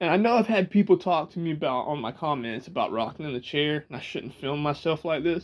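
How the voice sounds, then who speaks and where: In a Georgia accent, a man with a fairly high voice speaks with lively intonation and hardly any pauses, in a very clean recording with a silent background. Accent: Georgia southern drawl. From US South, Georgia. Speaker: vlogger. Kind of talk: casual chat. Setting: indoors, rocking in a chair, self-filmed.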